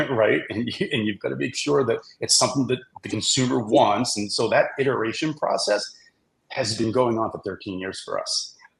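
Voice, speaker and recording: This man has a Boston accent. He talks at a fairly quick pace. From Boston, US East Coast. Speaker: brewery CEO. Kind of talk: podcast interview.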